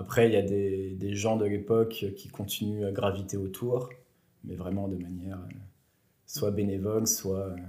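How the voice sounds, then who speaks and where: Amid audible room echo, a man speaks at a fairly low pitch in a monotone, flat intonation, with a dark, mellow tone and a somewhat breathy quality. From France, Bourg-en-Bresse area. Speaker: sports journalist. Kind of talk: interview.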